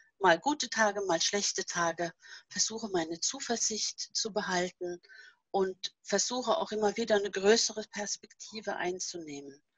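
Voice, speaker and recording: Speaking with a Norwegian accent, a woman uses a medium pitch and lively intonation. Her pace is fairly slow, and the sound is dry and close with no echo. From Norway. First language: Norwegian (speaking German). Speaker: author and seminar leader. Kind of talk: casual interview.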